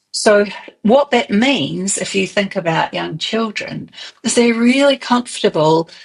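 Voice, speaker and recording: A somewhat breathy woman with a New Zealand accent, fairly high pitch and a fairly slow pace. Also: lively intonation. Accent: Kiwi. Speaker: early childhood movement expert. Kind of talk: interview.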